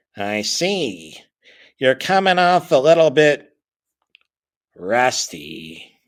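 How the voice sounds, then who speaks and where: A man in a put-on character voice, medium-pitched, with very wide pitch swings, a very slow pace and long, frequent pauses, on a very clean recording with a silent background. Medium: read story. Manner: odd, archaic phrasing.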